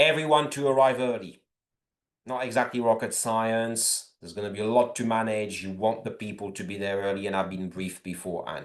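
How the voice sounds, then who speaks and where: At a fairly quick pace, a man speaks in a normal speaking voice at medium pitch, with ordinary pitch variation and big swings in loudness. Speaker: club officer sharing event experience. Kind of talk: online presentation.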